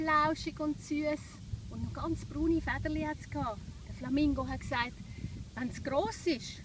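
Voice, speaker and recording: A woman with a Swiss accent, at a fairly slow pace. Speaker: children's yoga teacher. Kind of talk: guided children's yoga story.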